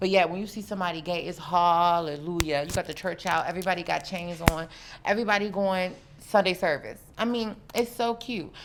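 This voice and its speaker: Here a woman with a fairly low pitch speaks at a fairly quick pace. Her tone is animated, with ordinary pitch variation. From US South. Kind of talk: casual interview chat.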